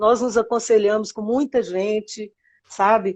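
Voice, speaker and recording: Speaking at a moderate pace, a woman uses an ordinary speaking voice, fairly high in pitch with ordinary pitch variation. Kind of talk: interview.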